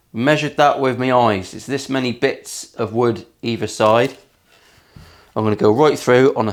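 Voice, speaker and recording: Speaking at a medium pitch, a man talks with a Cornish accent. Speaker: luthier, guitar builder. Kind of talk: workshop tutorial. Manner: casual, jokey.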